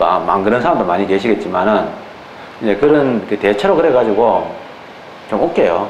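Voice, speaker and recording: Against noticeable background noise and audible room echo, a man with a fairly low pitch speaks with lively intonation, very even loudness, and long, frequent pauses. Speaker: law exam lecturer. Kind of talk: lecture. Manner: casual, colloquial digressions.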